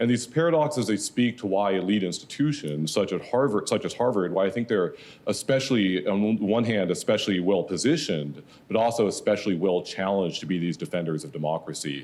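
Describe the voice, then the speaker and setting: Fairly quick, lively speech from a man with fairly low pitch. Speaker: professor. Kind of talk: panel talk.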